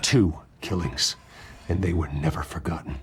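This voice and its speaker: Putting on a character voice, a man speaks at a very deep, low pitch in an intense tone. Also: moderate pace, ordinary pitch variation. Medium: video game. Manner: restrained, intense.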